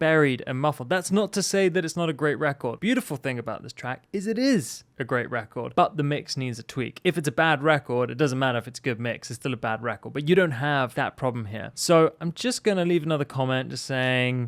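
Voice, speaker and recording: Against a quiet background, a man with a London accent speaks at a fairly quick pace with hardly any pauses, at a fairly high pitch with ordinary pitch variation. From London, England. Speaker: music producer giving track feedback; music producer reviewing tracks. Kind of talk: casual track review. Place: studio. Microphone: studio mic.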